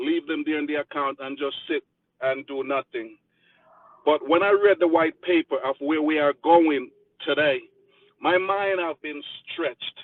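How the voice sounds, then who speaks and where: With a Jamaican accent, a man talks at a moderate pace with fairly even intonation and long, frequent pauses. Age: 50s. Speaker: community member giving a speech. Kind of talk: motivational speech.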